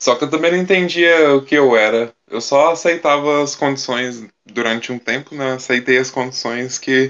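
With ordinary pitch variation and a medium pitch, this man talks in an ordinary speaking voice. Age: 20s. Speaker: singer. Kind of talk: casual chat.

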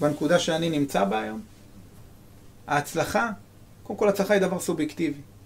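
A high-pitched man talks at a moderate pace with long, frequent pauses. His loudness swings widely. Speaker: army veteran. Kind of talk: testimony.

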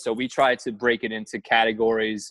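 The voice belongs to a man with a medium pitch. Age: 30s. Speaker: baseball coach and mental game trainer. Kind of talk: casual interview. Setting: video call.

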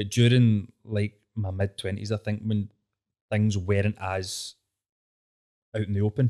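In a Glaswegian accent, a man with a fairly low, dark, mellow voice speaks flatly in a monotone at a fairly slow pace, leaving long, frequent pauses, on a very clean recording with a silent background. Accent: Glaswegian Scottish. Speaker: comedy show co-creator. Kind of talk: casual interview chat. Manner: informal, laughs often.

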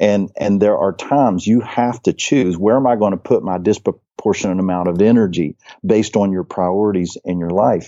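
Speaking with an American accent and hardly any pauses, a man has a plain, everyday voice, fairly low in pitch, at a moderate pace with ordinary pitch variation. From West Virginia. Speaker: church planting trainer and author. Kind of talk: interview conversation.

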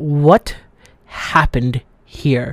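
A put-on character voice. Its pitch falls in the low-to-middle range. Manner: jovial, confused.

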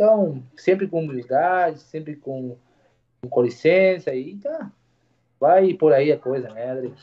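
A man with a Spanish accent at a fairly high pitch, very slow, with long, frequent pauses, big swings in loudness and lively intonation. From Uruguay. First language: Spanish (speaking Portuguese). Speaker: barber. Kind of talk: casual interview chat.

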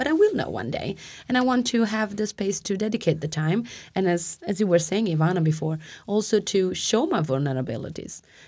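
At a fairly quick pace, a woman talks at a medium pitch with very wide pitch swings. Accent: Italian. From Italy. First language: Italian. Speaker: lawyer and PhD candidate. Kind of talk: live panel discussion. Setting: live release party.

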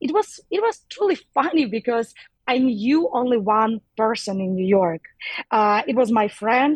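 With a Ukrainian accent, a woman speaks at a moderate pace and fairly high pitch, her lively intonation broken by long, frequent pauses in a dry, close sound with no echo. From Ukraine. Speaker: DJ and activist. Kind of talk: interview. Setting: phone or video call from New York. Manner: halting, searching for words.

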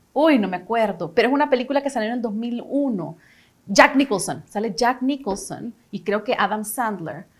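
The speaker has a Salvadoran accent. The intonation is lively. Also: woman, fairly high pitch for a woman, moderate pace. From El Salvador. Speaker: actress and casting director. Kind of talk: casual interview chat.

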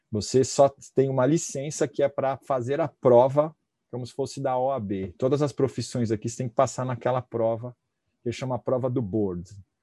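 This man's medium-pitched voice has a dark, mellow tone and fairly even intonation, heard in a dry, close sound with no echo on a very clean recording with a silent background. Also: moderate pace. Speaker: physiotherapist and professor. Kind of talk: casual interview.

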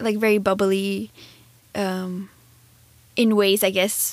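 Soft-spoken and at a very slow pace, a woman talks in a medium pitch. Her intonation is monotone and flat. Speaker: podcast co-host. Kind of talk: casual conversation.

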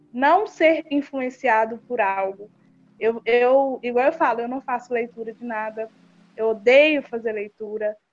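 There is music in the background. A woman talks at a fairly slow pace. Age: young. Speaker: youth activist, project founder. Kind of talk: casual interview.

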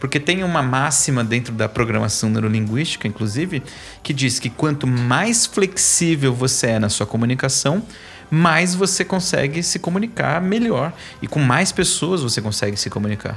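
A fairly high-pitched man at a moderate pace with very wide pitch swings, music in the background. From São Paulo east zone, Brazil. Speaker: author and course instructor. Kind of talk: podcast interview. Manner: animated.

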